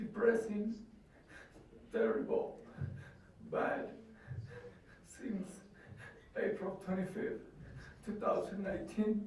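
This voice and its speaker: Audible room echo surrounds a voice with a non-native accent, very slow in pace and fairly even in intonation. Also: man. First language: Spanish. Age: 20s. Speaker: convicted truck driver. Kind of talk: courtroom statement. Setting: courtroom. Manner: halting.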